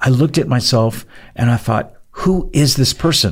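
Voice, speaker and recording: A man speaks with lively intonation at a moderate pace. His voice is medium in pitch and somewhat breathy. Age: 60s. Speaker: podcast co-host, chronic pain survivor. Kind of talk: faith-based podcast conversation.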